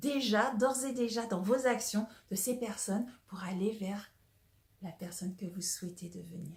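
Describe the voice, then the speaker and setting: The intonation here is lively. The speaker is a woman. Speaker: personal development coach. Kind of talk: casual talk to camera about a book. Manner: partly whispered, soft.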